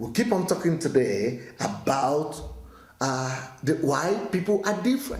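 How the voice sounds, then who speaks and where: A man's voice swings very widely in pitch, and the room echo can be heard. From Nigeria. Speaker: pastor. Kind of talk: daily teaching talk. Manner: hesitant, with frequent fillers and restarts.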